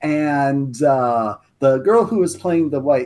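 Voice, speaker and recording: A man's fairly high voice with lively intonation, an ordinary speaking voice, against a quiet background. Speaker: guest lore expert and writer. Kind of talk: casual podcast chat.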